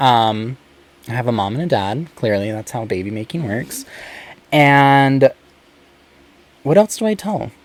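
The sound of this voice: With an American accent, a man at medium pitch talks at a fairly slow pace, using lively intonation and long, frequent pauses.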